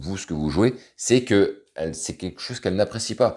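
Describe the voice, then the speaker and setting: With a dark, mellow tone and lively intonation, a man speaks on a very clean recording with a silent background. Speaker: dating coach. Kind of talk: video tutorial. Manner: casual, hesitant with many fillers.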